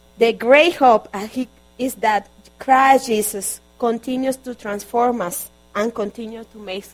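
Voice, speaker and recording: Over noticeable background noise, a woman with a Spanish accent talks at a fairly slow pace. Her fairly high voice has ordinary pitch variation and big swings in loudness. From Colombia. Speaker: guest preacher and interpreter. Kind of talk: sermon. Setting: church.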